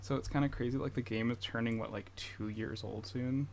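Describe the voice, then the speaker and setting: Speaking at a moderate pace, a man with a medium pitch shows vocal fry and a dark, mellow tone. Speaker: gaming livestreamer. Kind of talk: casual livestream chat. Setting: home streaming setup with headphones. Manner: halting, with repetitions.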